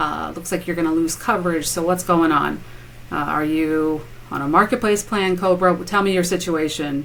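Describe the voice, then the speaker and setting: A woman speaks at a fairly low pitch, with ordinary pitch variation and noticeable background noise around her. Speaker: health insurance broker. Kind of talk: interview. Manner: not fast-talking, conversational; hesitant, many fillers.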